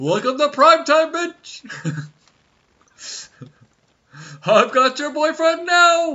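Someone uses a put-on character voice, high in pitch, at a very slow pace. Long pauses come often. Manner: menacing, taunting.

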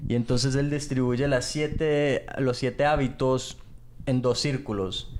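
Loudness stays very even as a man at medium pitch speaks with fairly even intonation. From England. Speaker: podcast co-host. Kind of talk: casual chat. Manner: halting.

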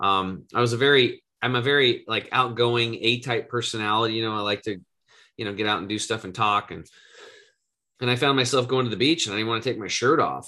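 The man talks at a very fast pace. His voice sits at a medium pitch with ordinary pitch variation. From Eastern Oregon, US. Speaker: health coach and podcast host. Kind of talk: interview, personal story.

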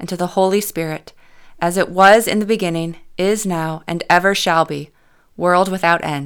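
A woman has an unremarkable speaking voice at medium pitch, with ordinary pitch variation and a moderate pace. The recording is very clean with a silent background. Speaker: worship leader. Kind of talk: fervent prayer, spoken liturgy. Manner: earnest, solemn, reverent.

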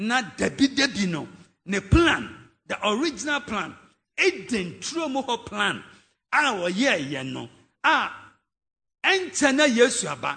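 In a raised, projected voice with a Ghanaian accent, the speaker has a bright, sharp tone and very wide pitch swings. The pace is fairly slow, with long, frequent pauses. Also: man, extremely high pitch for a man, quiet background. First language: Twi. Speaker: pastor. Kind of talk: sermon. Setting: church.

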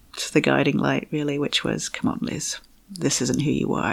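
A woman at a moderate pace. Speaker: fertility coach. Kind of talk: interview.

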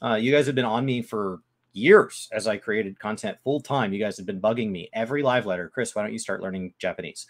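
A man speaks in a plain, everyday voice with lively intonation, on a very clean recording with a silent background. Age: 20s. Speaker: gaming podcast co-host. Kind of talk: casual chat. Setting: live stream.

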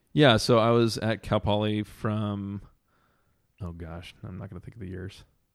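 A man with an American accent has a normal speaking voice at a fairly low pitch, speaking at a moderate pace with fairly even intonation. His loudness swings a lot, on a very clean recording with a silent background. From Southern California. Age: 30s. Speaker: chef and entrepreneur. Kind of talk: casual chat.

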